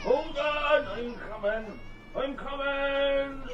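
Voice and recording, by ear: A man uses a put-on character voice at an extremely high pitch, talking at a very slow pace with ordinary pitch variation. Background noise is clearly audible.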